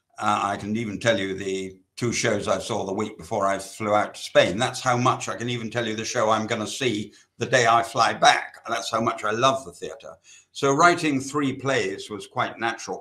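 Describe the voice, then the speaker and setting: In a British accent, the talking proceeds at a moderate speed. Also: man, medium pitch for a man, ordinary pitch variation. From England. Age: 80s+. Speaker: novelist. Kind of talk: interview. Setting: literary festival talk.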